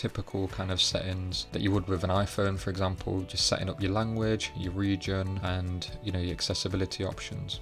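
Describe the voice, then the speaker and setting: Music plays in the background as the speaker moves at a moderate pace. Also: man. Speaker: tech YouTuber. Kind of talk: casual talk to camera.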